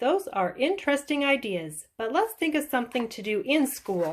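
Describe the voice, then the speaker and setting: In a put-on character voice, a woman speaks at a moderate pace and a high pitch with very wide pitch swings. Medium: read story. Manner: warm, teacherly.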